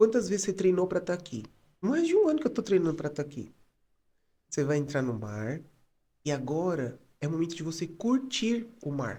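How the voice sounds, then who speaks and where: Calm and soft-spoken, a man with a high pitch and a dark, mellow tone lets his pitch swing very widely, leaving long, frequent pauses. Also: moderate pace. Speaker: psychologist and photographer. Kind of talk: podcast interview.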